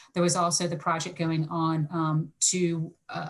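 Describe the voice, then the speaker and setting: In an American accent, a woman speaks in a fairly low, somewhat breathy voice. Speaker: higher education researcher. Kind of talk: panel discussion. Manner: fast.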